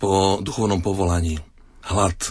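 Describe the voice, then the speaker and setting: A man's fairly low voice at a fairly slow pace, with fairly even intonation. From eastern Slovakia. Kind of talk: radio interview. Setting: studio.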